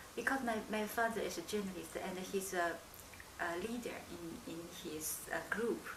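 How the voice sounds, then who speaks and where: Over noticeable background noise and audible room echo, a woman speaks at medium pitch with ordinary pitch variation and a fairly slow pace. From China, Shenyang and Beijing. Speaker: anthropologist. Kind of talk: interview. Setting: filmed interview. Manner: halting.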